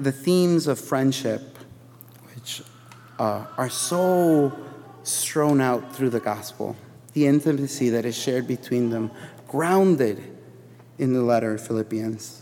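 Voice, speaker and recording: An American accent at a fairly slow pace, with long, frequent pauses and ordinary pitch variation. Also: man, medium pitch for a man. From Chicago. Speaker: preacher. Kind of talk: sermon. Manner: casual, filler-heavy.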